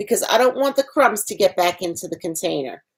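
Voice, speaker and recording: Her voice shows very wide pitch swings as the woman speaks. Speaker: cooking instructor. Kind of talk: tutorial.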